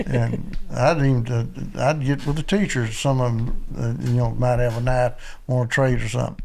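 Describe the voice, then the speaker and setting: The speech moves at a moderate pace. Audible room echo surrounds the voice. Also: man. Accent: American. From western Kentucky, Land Between the Lakes. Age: 80s+. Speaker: hunting call maker, outdoorsman. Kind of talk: casual interview chat.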